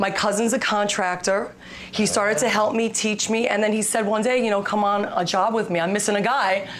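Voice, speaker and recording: At a fairly quick pace, a woman speaks at medium pitch with fairly even intonation and very even loudness, amid audible room echo and noticeable background noise. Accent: American. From Brooklyn, New York. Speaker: home repair expert. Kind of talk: TV segment tutorial.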